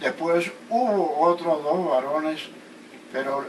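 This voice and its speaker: Speaking at a very slow pace, a man with a fairly high pitch is heard over noticeable background noise and audible room echo. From Colombia, Caribbean coast (Sabanalarga, Atlántico). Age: 80s+. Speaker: geographer. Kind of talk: interview, life story. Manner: halting, with self-corrections.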